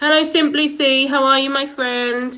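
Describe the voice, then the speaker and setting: In a Norfolk accent, a woman speaks in a high voice with a bright, sharp tone, on a very clean recording with a silent background. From England, Norfolk. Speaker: live streamer. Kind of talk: casual chat.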